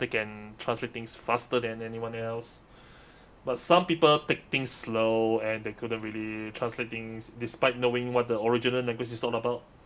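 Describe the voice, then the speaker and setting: A man with a medium-pitched voice and a non-native accent. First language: Mandarin. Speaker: streamer and live interpreter. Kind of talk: live stream commentary. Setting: live stream. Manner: halting, self-correcting.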